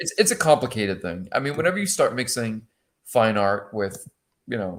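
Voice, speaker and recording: Quick-paced, a man with a Boston accent speaks at a medium pitch while his intonation swings very widely. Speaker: panelist on collectors show. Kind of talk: casual chat.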